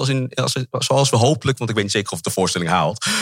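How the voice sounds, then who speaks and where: His intonation is lively. The man talks at a very fast pace. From Netherlands, Amsterdam. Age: 40s. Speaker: actor. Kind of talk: interview. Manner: halting.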